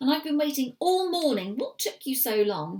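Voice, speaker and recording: A woman puts on a character voice. Her pitch sits high. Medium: read story.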